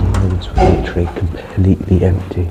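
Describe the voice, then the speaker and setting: A man with an English accent and a very deep, low voice, over noticeable background noise. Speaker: travel vlogger. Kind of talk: casual vlog. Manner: hesitant, many fillers. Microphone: headset mic without pop filter.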